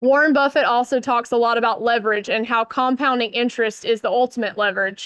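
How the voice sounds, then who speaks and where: With ordinary pitch variation, a woman speaks very fast at a high pitch, in a dry, close sound with no echo. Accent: Southern US. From US South, Northeast Georgia. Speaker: keynote speaker, building industry consultant. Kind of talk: conference keynote.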